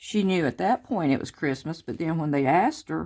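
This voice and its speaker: In a very clean recording with a silent background, a woman with a plain, everyday voice speaks at a moderate pace in a fairly low pitch with ordinary pitch variation. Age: 50s. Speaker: craft vlogger. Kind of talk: casual chat. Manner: chatty, informal.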